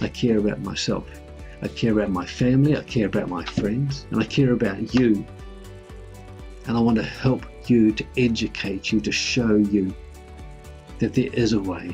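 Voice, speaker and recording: Faint music plays in the background. A man speaks with long, frequent pauses. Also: fairly low pitch for a man, ordinary pitch variation, moderate pace. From New Zealand. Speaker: personal finance YouTuber. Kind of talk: casual talk to camera. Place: home room.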